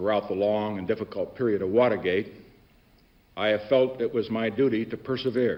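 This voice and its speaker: Using a normal speaking voice, a man talks at a fairly quick pace with a fairly low pitch and fairly even intonation. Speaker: US president. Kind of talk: televised address.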